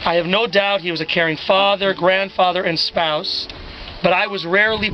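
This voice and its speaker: Against noticeable background noise, a man with a high pitch talks at a moderate pace. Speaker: eulogist, charity organization leader. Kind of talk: memorial eulogy.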